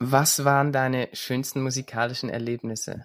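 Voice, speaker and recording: A man speaks at a fairly high pitch and a moderate pace. The recording is very clean, with a silent background. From Switzerland. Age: 30s. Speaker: singer-songwriter and former elite gymnast. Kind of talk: self-interview, answering own questions.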